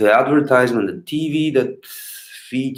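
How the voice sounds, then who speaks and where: A man with a Bulgarian accent. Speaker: street clown performer. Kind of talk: live stream Q&A. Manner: loud and clear; halting, many fillers. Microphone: better old sound equipment, favorite microphone.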